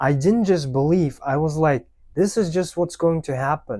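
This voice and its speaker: Recorded very cleanly against a silent background, a man with a non-native accent speaks at a moderate pace in a fairly high, dark, mellow voice with ordinary pitch variation. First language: not English. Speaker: language learning youtuber. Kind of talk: unscripted motivational talk to camera. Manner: spontaneous, unscripted.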